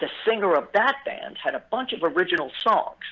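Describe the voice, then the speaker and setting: A voice speaks in a Brooklyn accent. It is raised and projected. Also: man. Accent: New York (Brooklyn). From New York City, Brooklyn (Bensonhurst). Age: 50s. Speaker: musician. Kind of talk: interview. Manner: halting, many fillers.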